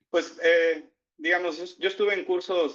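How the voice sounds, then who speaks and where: A man with a Mexican accent at a fairly quick pace. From Mexico. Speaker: economist. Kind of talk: interview. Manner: hesitant, many fillers.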